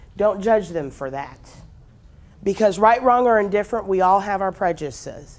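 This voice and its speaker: With an American accent, a woman speaks in an energetic, passionate tone. Her medium pitch moves with ordinary pitch variation at a moderate pace. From Houston, United States. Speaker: professional speaker and trainer. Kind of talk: motivational seminar talk. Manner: energetic, passionate, humorous.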